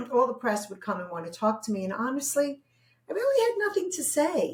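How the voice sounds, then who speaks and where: In a strong Brooklyn accent, a woman talks at a high pitch and a fairly quick pace, her pitch swinging very widely and her loudness rising and falling in big swings. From New York, Brooklyn. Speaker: therapist. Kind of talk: interview.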